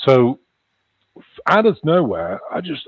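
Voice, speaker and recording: The speaker has very wide pitch swings and a slight Liverpool accent. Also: man. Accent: slight Liverpool twang. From England (Chester, near Liverpool). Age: 60s. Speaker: author and paranormal experiencer. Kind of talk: interview. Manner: halting.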